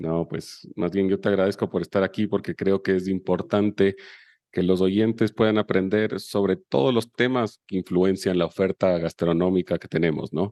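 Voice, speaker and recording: Dry and close with no echo over a quiet background, a man speaks at a very deep, low pitch with a dark, mellow tone, a moderate pace and fairly even intonation. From Chile. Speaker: podcast host. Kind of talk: scripted intro then interview.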